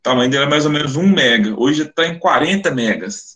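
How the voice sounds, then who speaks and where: A man speaks at a fairly high pitch in a bright, sharp tone, with ordinary pitch variation. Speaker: phonetics professor, webinar speaker. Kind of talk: lecture. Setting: online webinar.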